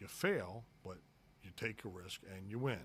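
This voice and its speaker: This is a man's voice. It sounds somewhat breathy. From Baltimore, Maryland. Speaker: lawyer and podcast host. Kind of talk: casual podcast monologue. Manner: animated, conversational with many fillers.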